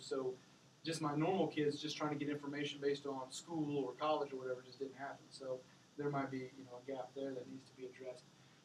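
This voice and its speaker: A man's fairly high voice at a very fast pace, amid noticeable background noise. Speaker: parent sharing story as guest speaker. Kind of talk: classroom talk. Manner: halting.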